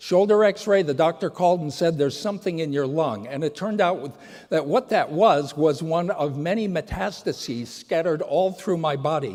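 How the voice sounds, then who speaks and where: A man's plain, everyday voice, fairly high in pitch, with lively intonation and a moderate pace. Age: 60s. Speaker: patient advocate and speaker. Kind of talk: conference talk. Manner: casual.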